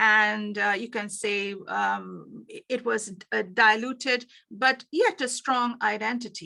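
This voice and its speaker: On a very clean recording with a silent background, a woman with a fairly high pitch and a bright, sharp tone talks at a very slow pace with fairly even intonation. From India. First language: Bengali. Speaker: business coach. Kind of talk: workshop presentation. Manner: halting, many fillers.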